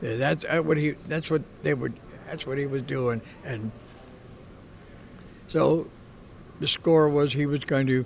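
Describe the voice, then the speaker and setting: A fairly high-pitched man at a very slow pace, with fairly even intonation, long, frequent pauses and light background noise. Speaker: World War II submarine veteran. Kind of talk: interview answer, war recollection. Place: meeting room. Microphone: studio mic.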